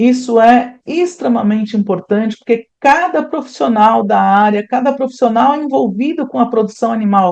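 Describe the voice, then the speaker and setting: Speaking at a moderate pace, a woman uses lively intonation with a fairly high pitch. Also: hardly any pauses. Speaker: animal scientist and consultant giving a talk. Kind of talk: lecture. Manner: animated.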